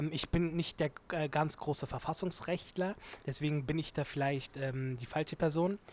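A man speaks at a fairly slow pace in a fairly high pitch. His intonation stays fairly even. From Germany, Turkish family. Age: 20s. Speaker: law student and activist. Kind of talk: interview. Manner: hesitant, many fillers.

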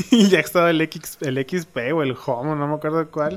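Ordinary pitch variation in a man's speech. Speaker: podcast host. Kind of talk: casual chat. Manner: animated.

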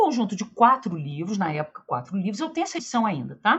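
Vocal fry with very wide pitch swings. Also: woman. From Rio de Janeiro, Brazil. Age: 40s. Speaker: history professor. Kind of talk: interview.

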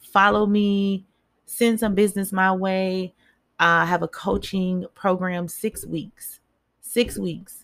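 Monotone and flat in intonation, the delivery proceeds very slowly. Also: woman, medium pitch for a woman. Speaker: mindset coach and spoken word poet. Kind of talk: motivational speech. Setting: live online broadcast. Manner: direct and rallying, urging listeners to act.

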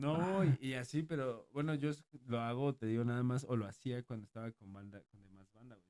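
A man speaks at a fairly quick pace in a medium pitch with ordinary pitch variation, his tone dark and mellow, the sound dry and close with no echo. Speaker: podcast co-host. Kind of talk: casual chat.

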